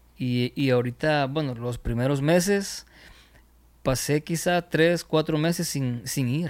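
Speaking at a very slow pace, a man with a fairly high pitch and ordinary pitch variation comes through on a very clean recording with a silent background. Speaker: music producer. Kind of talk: casual interview. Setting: home studio. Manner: halting, many fillers.

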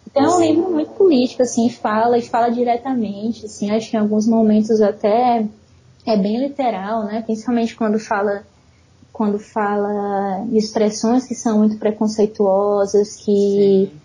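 A somewhat breathy woman's voice, fairly high in pitch, with a dark, mellow tone, fairly even intonation and a moderate pace. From Brazil, São Luís, Maranhão. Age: 30s. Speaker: writer. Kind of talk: casual chat.

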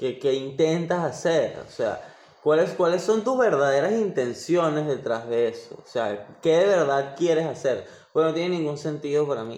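Audible room echo surrounds a man's fairly high voice. He speaks at a moderate pace with lively intonation. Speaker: podcast co-host. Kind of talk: casual chat.

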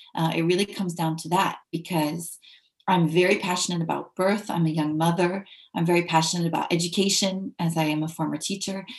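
A woman speaks in a fairly low, somewhat breathy voice with an American accent and monotone, flat intonation. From United States. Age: young. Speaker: english teacher and ethical leadership consultant. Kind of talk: interview. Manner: halting.

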